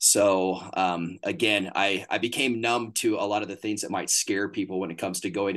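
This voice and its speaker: A man with a Texan accent speaks at a fairly low pitch and a moderate pace, with hardly any pauses. The background is quiet. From Northeast Texas. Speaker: hunting booking agent. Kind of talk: casual interview chat.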